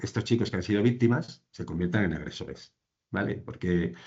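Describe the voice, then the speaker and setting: The voice has vocal fry and lively intonation. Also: man. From Andalusia, Spain. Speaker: social care professional presenting a case. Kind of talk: professional presentation in online training session. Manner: fast; halting, many fillers and restarts.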